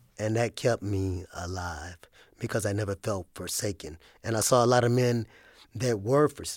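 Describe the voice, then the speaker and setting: A man with an unremarkable speaking voice talks at a fairly low pitch, a moderate pace and ordinary pitch variation. The recording is very clean with a silent background and a dry, close sound with no echo. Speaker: former inmate. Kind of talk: testimony.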